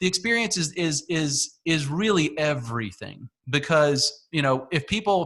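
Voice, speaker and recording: A man with an American accent speaks at a fairly high pitch. His tone is bright and sharp, and his intonation is lively. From US South, Northeast Georgia. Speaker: podcast host. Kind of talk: casual interview chat.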